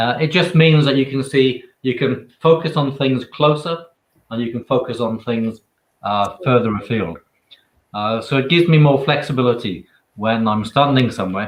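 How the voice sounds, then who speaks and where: Speaking with a Welsh accent, a man talks at a moderate pace with ordinary pitch variation. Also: medium pitch for a man. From Wales. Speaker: author and photographer. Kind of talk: interview answer.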